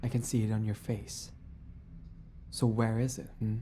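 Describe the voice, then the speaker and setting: A woman's very deep, low, somewhat breathy voice, dark and mellow yet menacing in tone, at a moderate pace. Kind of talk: dramatic scripted roleplay narration. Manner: sassy, teasing, menacing, swaggering, with laughs; softening to vulnerable and tender.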